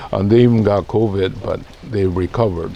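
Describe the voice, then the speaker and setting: The voice has a relaxed tone and monotone, flat intonation, with noticeable background noise behind it. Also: man. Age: 70s. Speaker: bonsai nursery owner and video host. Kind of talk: casual monologue to camera. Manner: relaxed, hesitant with many fillers.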